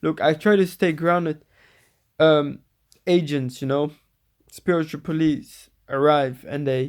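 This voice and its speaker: Speaking with a Dutch accent, a man uses a fairly high pitch. He talks at a fairly slow pace with long, frequent pauses. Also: fairly even intonation, very clean recording, silent background. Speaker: spiritual vlogger. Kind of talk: casual monologue. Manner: halting, many repetitions and fillers.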